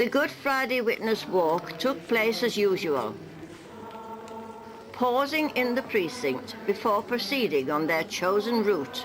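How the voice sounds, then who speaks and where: A woman's fairly high voice with very wide pitch swings, very slow pace, and noticeable background noise. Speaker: newsreel narrator. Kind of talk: local newsreel narration.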